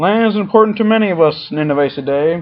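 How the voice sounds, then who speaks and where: A gravelly, put-on character voice at a middle pitch rattles along at a very fast pace. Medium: read story. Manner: calm.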